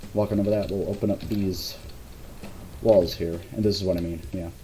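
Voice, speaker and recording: Noticeable background noise behind a man's fairly low-pitched voice. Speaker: game level designer giving commentary. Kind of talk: gameplay walkthrough commentary. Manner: halting, repeats words.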